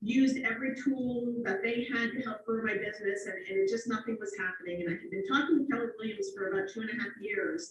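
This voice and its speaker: Talking at a very fast pace with hardly any pauses, a woman with an American accent sounds somewhat breathy and uses ordinary pitch variation. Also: fairly high pitch for a woman. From Cape Cod, Massachusetts. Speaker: real estate team leader and trainer. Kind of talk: training session.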